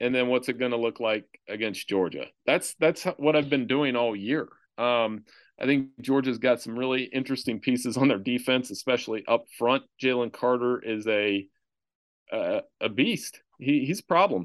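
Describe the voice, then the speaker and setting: A man with a plain, everyday voice speaks at a medium pitch and moderate pace with ordinary pitch variation over a quiet background. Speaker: sports journalist. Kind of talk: casual chat.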